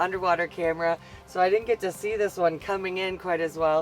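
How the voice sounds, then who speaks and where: Speaking with a Wisconsin accent, a woman uses a fairly low pitch and a fairly quick pace. Her intonation stays fairly even, with music playing in the background. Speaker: ice fishing pro. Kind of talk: casual on-camera fishing chat.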